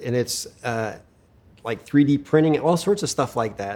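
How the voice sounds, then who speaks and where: A man with an American accent and a plain, everyday voice talks at a fairly slow pace with ordinary pitch variation. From Pennsylvania, US. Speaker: retina specialist and researcher. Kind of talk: interview.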